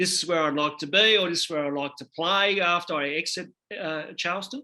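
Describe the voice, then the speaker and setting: A man with an Australian accent, high pitch and a bright, sharp tone at a fairly quick pace. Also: ordinary pitch variation. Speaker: basketball podcast host. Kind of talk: interview. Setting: video call. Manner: halting.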